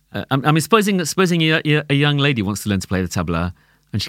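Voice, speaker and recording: Speaking very fast, a man with a London accent lets his pitch swing very widely. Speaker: tabla player. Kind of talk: casual chat. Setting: studio.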